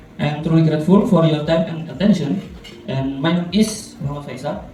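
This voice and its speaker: A man with a fairly high pitch and ordinary pitch variation at a fairly quick pace, with noticeable background noise and audible room echo. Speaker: school administrator and AI education mentor. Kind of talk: presentation. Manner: formal.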